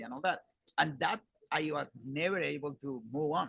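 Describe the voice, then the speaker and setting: With a Spanish accent, a man speaks in a bright, sharp tone. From Colombia, Bogota. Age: 40s. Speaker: conference field host, engineer. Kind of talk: casual interview chat. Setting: live at a conference.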